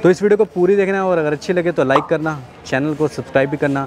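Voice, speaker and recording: A man at a moderate pace with ordinary pitch variation, dry with no echo, over noticeable background noise. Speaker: car vlog host. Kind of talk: vlog intro to camera. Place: street.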